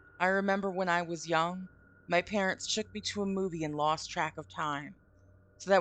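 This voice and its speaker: A woman with a plain, everyday voice speaks at a moderate pace in a fairly low pitch with fairly even intonation. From Vermont, US. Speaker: streamer. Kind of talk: reading aloud a story with live commentary. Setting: live stream from home.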